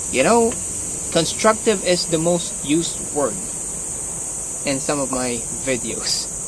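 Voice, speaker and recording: A man with a Filipino accent speaks at a very slow pace. Noticeable background noise and audible room echo fill the recording. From Philippines. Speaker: martial arts vlogger. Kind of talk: casual vlog talk. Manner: halting.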